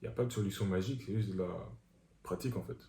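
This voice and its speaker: A man talks at a very fast pace with a fairly low pitch and ordinary pitch variation. His tone is dark and mellow, with vocal fry. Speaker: men's coach, video creator. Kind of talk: tutorial.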